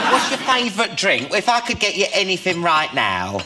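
Loud background noise runs beneath a man speaking at a fairly slow pace. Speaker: talk show host. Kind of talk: talk show banter. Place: studio.

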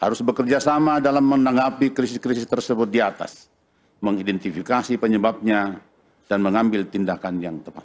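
A plain, everyday voice from a man, fairly quick, with ordinary pitch variation and a quiet background. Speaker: religious leader. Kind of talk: reading aloud a formal declaration. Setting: stage with audience at a ceremony. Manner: formal.

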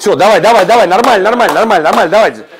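The speaker is a man. There is light background noise behind him. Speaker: football head coach. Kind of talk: tactical team talk. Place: hall. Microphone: lapel.

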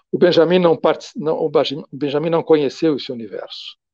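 A man with a dark, mellow tone at a moderate pace, in a dry sound with no echo and a quiet background. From Brazil. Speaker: philosophy professor; guest intellectual lecturer. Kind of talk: lecture. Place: home room. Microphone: earbuds.

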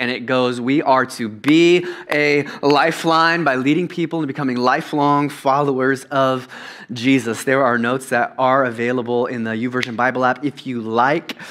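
The man's intonation stays fairly even. His pace is moderate. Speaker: preacher. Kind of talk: sermon. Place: church. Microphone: headset.

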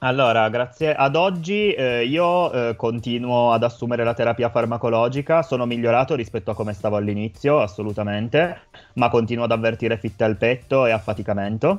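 A man speaks at a fairly quick pace and a medium pitch, with ordinary pitch variation and very even loudness. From Italy, Turin; Italy. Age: 20s. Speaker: healthcare worker; guest. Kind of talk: testimony. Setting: remote link into radio studio. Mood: calm, serious. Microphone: video call.

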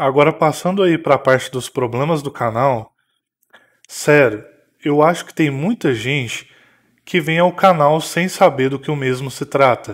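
A man talks in a plain, everyday voice at a fairly slow pace, fairly high in pitch with ordinary pitch variation and big swings in loudness. The recording is very clean, with a silent background. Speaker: gaming YouTuber. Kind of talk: vlog monologue. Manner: scripted.

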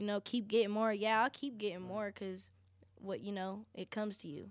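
In an American accent, a woman with an ordinary speaking voice talks at a moderate pace in a medium pitch. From Denver, Colorado. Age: young. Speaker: singer and designer. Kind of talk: casual chat.

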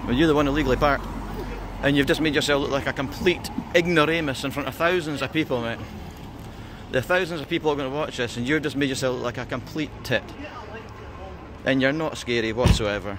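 A man talks at a very fast pace, his voice dry with no echo, over noticeable background noise. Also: ordinary pitch variation. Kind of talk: heated street argument. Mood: confrontational, mocking. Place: street. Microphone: phone near.

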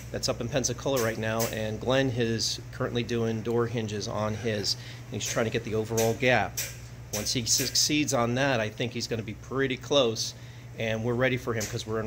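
Noticeable background noise sits under a man speaking at a fairly quick pace in a flat, monotone way. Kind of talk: casual vlog update. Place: workshop. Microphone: phone near.

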